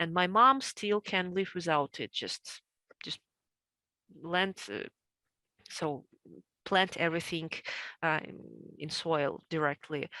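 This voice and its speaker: Very slowly and in a Russian accent, a woman speaks at a fairly low pitch with ordinary variation and a bright, sharp tone, the sound dry and close with no echo. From central Russia. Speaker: homesteader. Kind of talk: interview. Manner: halting, many fillers.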